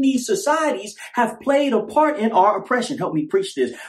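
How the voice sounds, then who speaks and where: Over noticeable background noise, a man with an American accent speaks at an extremely high pitch with ordinary pitch variation. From California. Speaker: religious podcaster. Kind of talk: sermon-style monologue.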